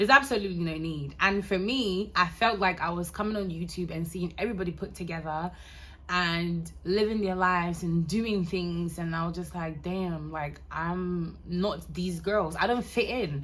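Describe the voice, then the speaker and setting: A woman in an American accent at a fairly low pitch and moderate pace, ordinary pitch variation, with audible room echo. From Ghana. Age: 20s. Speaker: lifestyle vlogger. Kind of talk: casual chat to camera. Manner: animated.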